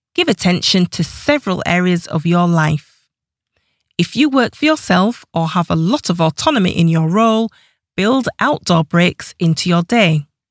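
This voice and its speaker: A plain, everyday voice from a woman, fairly low pitch with lively intonation, very even loudness and a moderate pace, in a dry, close sound with no echo. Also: very clean recording, silent background. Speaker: audiobook narrator and author. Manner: even, measured and clear, with a warm encouraging tone.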